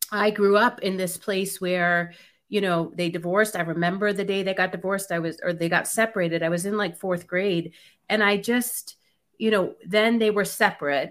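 A woman speaks at a medium pitch and a moderate pace with fairly even intonation. It is a plain, everyday voice. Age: 40s. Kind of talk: casual chat, personal testimony.

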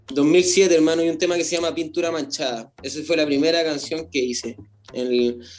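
Speaking fairly quickly, a man with a fairly high voice lets his pitch vary in an ordinary way. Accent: Chilean. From Chile, Santiago. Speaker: rapper. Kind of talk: casual chat. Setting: video call.

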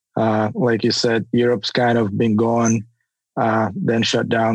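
In a dry, close sound with no echo, a man speaks at a medium pitch in a monotone, flat intonation. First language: not English. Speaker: hockey scout. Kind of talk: interview.

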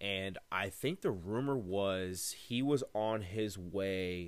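A man's very deep, low voice in an animated tone, with audible room echo. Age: 20s. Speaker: sports podcast host. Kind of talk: casual solo commentary.

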